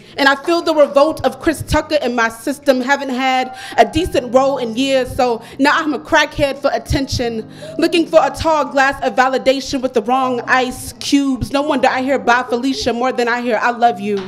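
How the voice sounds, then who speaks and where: Over music in the background, a woman with an American accent speaks at a moderate pace and high pitch with fairly even intonation. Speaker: poet performing open mic. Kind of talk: poet spoken word, confessional love poem with punchy wordplay, heartfelt and steady. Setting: stage with live audience at poetry cafe.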